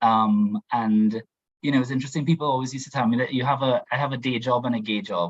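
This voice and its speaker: At a very fast pace, a man talks in a medium pitch with ordinary pitch variation. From Trinidad. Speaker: diversity and inclusion professional, panelist. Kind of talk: panel discussion. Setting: video call. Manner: halting.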